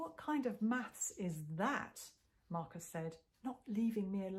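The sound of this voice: What comes through is an unforced reading voice.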